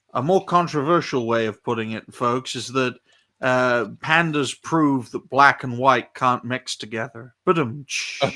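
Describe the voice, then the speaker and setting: In a British accent, the voice has a bright, sharp tone and ordinary pitch variation at a fairly slow pace. The recording is very clean, with a silent background. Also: man, medium pitch for a man. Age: 20s. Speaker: podcast guest. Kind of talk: casual chat.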